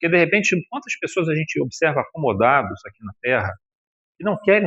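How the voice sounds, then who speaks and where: A man's unremarkable speaking voice at a moderate pace. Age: 60s. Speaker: spiritist lecturer. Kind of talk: religious lecture. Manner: conversational, colloquial.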